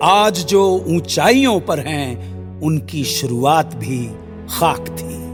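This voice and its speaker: Music plays in the background as a man speaks in a fairly high pitch with very wide pitch swings and big swings in loudness. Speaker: radio presenter. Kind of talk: sponsored radio story narration.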